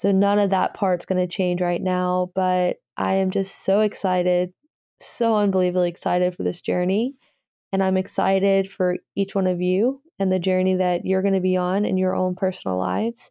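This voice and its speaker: Woman's medium-pitched voice with a dark, mellow tone, monotone, flat intonation, very even loudness and moderate pace. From US South, Birmingham, Alabama. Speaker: podcast host and energy healer. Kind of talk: solo podcast update.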